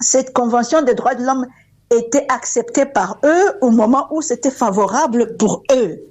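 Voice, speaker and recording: This woman's voice sits high in pitch. She talks at a fairly slow pace. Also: ordinary pitch variation. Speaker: university rector. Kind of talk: radio interview. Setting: phone call.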